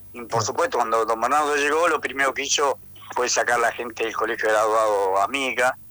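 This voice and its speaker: A man's medium-pitched voice, bright and sharp in tone, with ordinary pitch variation. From Argentina, Tucumán. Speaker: economist, university professor. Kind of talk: radio interview.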